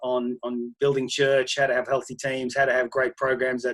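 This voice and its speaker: A man speaks at a medium pitch in a flat monotone. The sound is dry and close with no echo. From Australia, country Queensland. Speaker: pastor. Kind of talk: interview.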